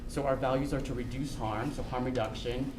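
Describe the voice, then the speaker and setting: A man speaks at a fairly quick pace in a medium pitch, his intonation monotone and flat. There is audible room echo and noticeable background noise. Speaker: public health official. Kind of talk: informational briefing presentation. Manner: fast.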